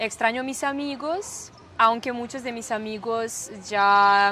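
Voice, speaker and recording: In a Serbian accent, a woman speaks at a high pitch. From Serbia, Niš. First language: Serbian (speaking Spanish). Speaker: German teacher. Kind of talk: interview. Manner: halting, searching for words.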